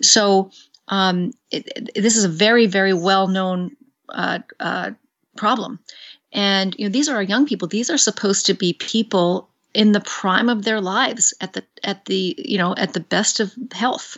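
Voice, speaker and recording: With an ordinary speaking voice, a woman talks at a moderate pace in a medium pitch with ordinary pitch variation. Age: 50s. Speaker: psychiatrist. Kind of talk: interview. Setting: phone call.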